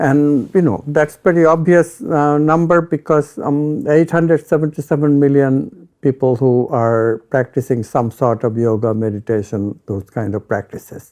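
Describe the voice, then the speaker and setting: A man with an Indian accent, fairly high pitch and ordinary pitch variation, in a dark, mellow tone. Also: moderate pace. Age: old. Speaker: retired physics professor. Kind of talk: interview.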